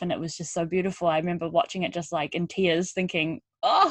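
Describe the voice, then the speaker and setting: A woman in a New Zealand accent, fairly low-pitched, at a fairly quick pace with monotone, flat intonation, over a quiet background. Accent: twangy New Zealand. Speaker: podcast host. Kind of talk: podcast interview.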